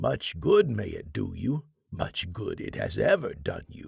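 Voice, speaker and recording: A man speaks in a put-on character voice at a fairly slow pace. His loudness swings widely. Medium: read story. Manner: gruff, scornful.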